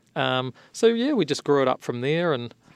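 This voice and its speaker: With a New Zealand accent, a man speaks at a fairly quick pace with ordinary pitch variation, the sound dry and close with no echo. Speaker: architect and tech company founder. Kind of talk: interview.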